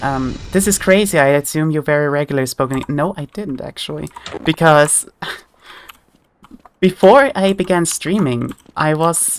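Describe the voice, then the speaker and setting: The speaker has an Austrian accent. The pace is moderate. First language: German. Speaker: vtuber streamer. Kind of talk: gaming livestream chat. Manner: halting.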